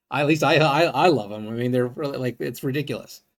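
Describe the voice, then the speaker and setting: This man talks at a medium pitch with ordinary pitch variation. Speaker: stock trading educator. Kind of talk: tutorial. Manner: fast; animated.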